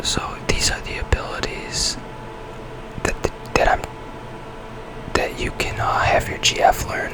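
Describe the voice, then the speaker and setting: Someone whispers at a moderate pace. Noticeable background noise comes through. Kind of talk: ASMR whisper gameplay commentary. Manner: whispered.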